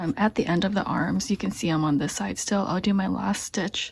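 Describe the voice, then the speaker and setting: Some breathiness runs through the voice. The pitch shifts in an ordinary way. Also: woman. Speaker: crochet tutorial maker. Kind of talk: tutorial. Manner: casual.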